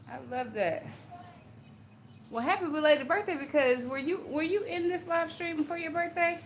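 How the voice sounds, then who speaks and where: A woman speaks in an extremely high pitch with an animated tone and long, frequent pauses. Noticeable background noise runs underneath. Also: ordinary pitch variation, moderate pace. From Louisiana. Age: 40s. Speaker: live streamer doing hair. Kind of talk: casual live stream chat.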